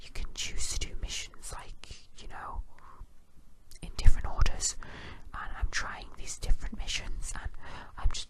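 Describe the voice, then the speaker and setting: Whispering at a moderate pace, broken by long, frequent pauses. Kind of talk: ASMR whispered rant. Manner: whispered.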